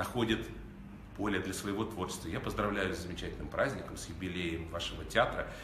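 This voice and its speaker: A man talks here. Behind him, background noise is noticeable. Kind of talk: congratulatory address. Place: hall.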